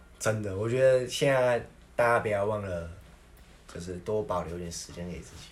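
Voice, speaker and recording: A fairly low, somewhat breathy male voice with big swings in loudness, long, frequent pauses and audible room echo. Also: ordinary pitch variation, moderate pace. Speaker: podcast co-host. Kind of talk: casual chat.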